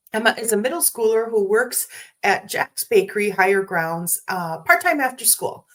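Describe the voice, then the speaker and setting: With lively intonation, a woman with an American accent speaks at a moderate pace in a fairly high pitch. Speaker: movie reviewer, podcaster. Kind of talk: solo movie review. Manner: casual, some stumbles and self-corrections.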